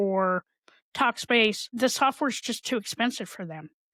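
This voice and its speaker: In an American accent, a woman with a fairly high pitch speaks at a fairly slow pace in an ordinary speaking voice, the sound dry and close with no echo. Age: 60s. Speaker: mental health advocate and podcaster. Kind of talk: interview.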